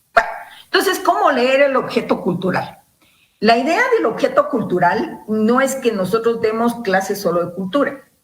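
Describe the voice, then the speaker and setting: A woman's fairly high voice with very wide pitch swings, a moderate pace, and audible room echo. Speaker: university lecturer. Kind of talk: lecture. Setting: video call.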